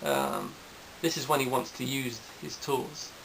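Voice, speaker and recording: A man's medium-pitched voice with noticeable background noise. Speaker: boxing video blogger. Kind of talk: casual monologue. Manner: halting, many fillers.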